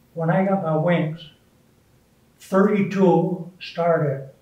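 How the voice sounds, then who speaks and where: A man's high-pitched voice with audible room echo. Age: 80s+. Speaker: war veteran. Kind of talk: interview.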